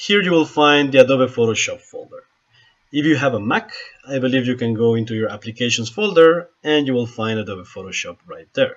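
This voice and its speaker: Speaking with a strong Spanish accent, a man at a medium pitch uses lively intonation and big swings in loudness. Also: fairly quick pace. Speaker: photographer and software tutorial maker. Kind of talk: software tutorial screen-recording narration.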